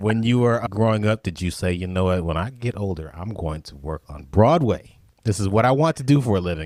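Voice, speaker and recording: A man with an ordinary speaking voice and fairly low pitch talks at a fairly quick pace with hardly any pauses and big swings in loudness, in a very clean recording with a silent background. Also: lively intonation. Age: 50s. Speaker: podcast host and drummer. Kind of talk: casual interview.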